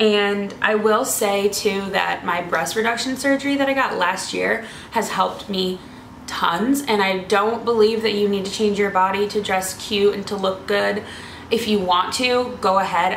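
The intonation stays fairly even. Light background noise and audible room echo are present. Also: woman, moderate pace. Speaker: fashion vlogger. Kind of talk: casual vlog chat. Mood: earnest, encouraging. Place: home room. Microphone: camera far.

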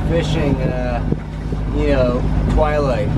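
The speech moves at a fairly slow pace. Loud background noise runs underneath. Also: man. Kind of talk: casual vlog chat. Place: boat.

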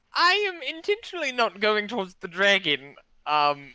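At a moderate pace, a female-sounding, squeaky put-on character voice with medium pitch makes very wide pitch swings.

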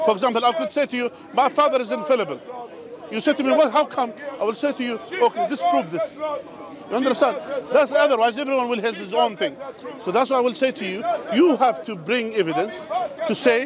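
A man speaks at a very fast pace. The sound is dry with no echo, and crowd noise is in the background. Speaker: religious preacher debating. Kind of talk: debate argument. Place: open country. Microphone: lapel.

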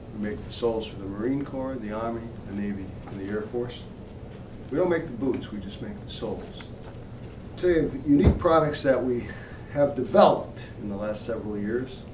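With lively intonation and big swings in loudness, a man of medium pitch speaks at a fairly quick pace, broken by long, frequent pauses, over noticeable background noise. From Central Falls, Rhode Island. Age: 50s. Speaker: company CEO. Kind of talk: interview answer. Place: office.

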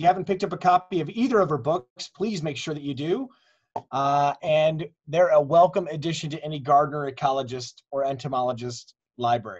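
With an American accent, a man speaks at a fairly quick pace and a fairly high pitch, somewhat breathy, with ordinary pitch variation. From US Midwest. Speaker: webinar host, board member. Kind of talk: event hosting. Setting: video call webinar.

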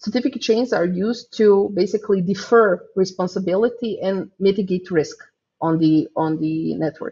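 A woman speaks in a Croatian accent at a moderate pace. Her voice is somewhat breathy, with ordinary pitch variation. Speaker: software developer; conference speaker. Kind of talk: conference talk.

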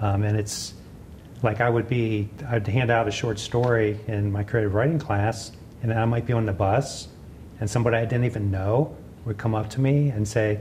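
A man in a central Pennsylvania accent, with fairly even intonation and light background noise. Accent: central Pennsylvania American. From central Pennsylvania, Gettysburg. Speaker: author and farmers market vendor. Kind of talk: interview; interview answer. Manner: halting. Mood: relaxed, reflective. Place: hall.

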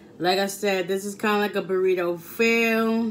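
Monotone, flat intonation from a woman at a moderate pace, with light background noise. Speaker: food vlogger. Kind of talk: casual vlog chat. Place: home room. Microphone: phone near.

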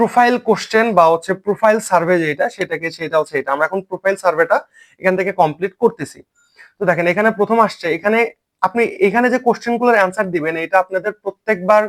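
The voice has ordinary pitch variation, heard in a dry, close sound with no echo. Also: man, high pitch for a man. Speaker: online earning tutor. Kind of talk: tutorial.

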